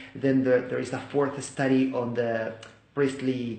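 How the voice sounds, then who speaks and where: Fairly slow speech from a man with a Spanish accent and medium pitch, amid noticeable background noise and audible room echo. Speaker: English teacher and Bible study video maker. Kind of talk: personal testimony. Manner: halting, with many fillers.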